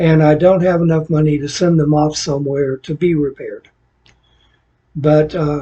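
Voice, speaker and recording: A somewhat breathy man speaks at a fairly high pitch in monotone, flat intonation, with long, frequent pauses. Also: moderate pace. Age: 60s. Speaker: gaming content creator. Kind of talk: casual tutorial-style talk.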